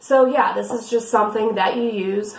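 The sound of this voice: A woman with a raspy voice speaks at a moderate pace and medium pitch, with ordinary pitch variation. Audible room echo surrounds her.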